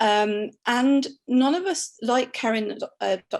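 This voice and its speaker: A woman speaks with a British accent and lively intonation against a quiet background. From United Kingdom. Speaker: emergency doctor. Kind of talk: online panel discussion.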